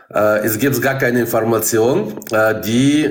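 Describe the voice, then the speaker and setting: With noticeable background noise and audible room echo, a man talks with lively intonation in a Russian accent. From Kazakhstan. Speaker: bus driver. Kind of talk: casual chat.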